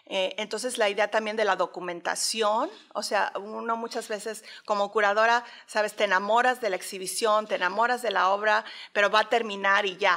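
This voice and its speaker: With a bright, sharp tone and fairly even intonation, a woman speaks at a moderate pace over a quiet background. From Mexico City. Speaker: art curator and professor; guest. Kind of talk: interview; interview answer. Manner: halting, many fillers. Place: hall. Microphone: studio mic.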